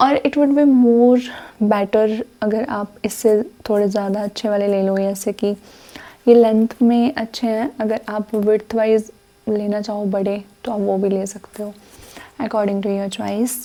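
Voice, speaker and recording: The speaker is soft-spoken, with fairly even intonation. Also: woman, fairly high pitch for a woman. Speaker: Java developer and study vlogger. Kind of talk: casual study vlog with Hindi-English code-switching. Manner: soft-spoken, quiet.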